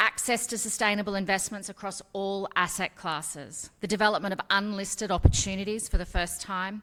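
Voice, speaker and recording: A woman with an Australian accent talks at a fairly quick pace, her medium-pitched voice bright and sharp in tone. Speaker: fund company executive. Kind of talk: award acceptance speech.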